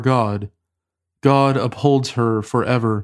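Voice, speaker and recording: Here is an ordinary speaking voice from a man. He talks fairly slowly with fairly even intonation. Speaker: podcast host leading liturgical prayer. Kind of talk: liturgical prayer and scripture reading. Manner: formal.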